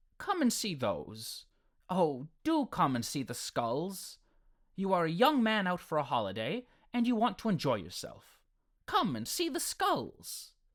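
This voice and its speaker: A man puts on a shrill character voice with a high pitch. He delivers it at a fairly slow pace. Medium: read story. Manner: persistent, wheedling.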